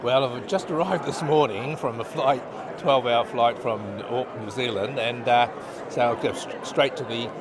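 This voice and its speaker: A man talks at a moderate speed while room echo is audible and background noise noticeable. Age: 70s. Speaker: doctor. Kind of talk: interview. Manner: halting.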